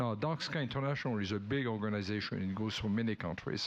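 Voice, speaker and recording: A man with a French accent and lively intonation. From France. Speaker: event presenter. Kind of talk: speaker introduction. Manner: hesitant, many fillers.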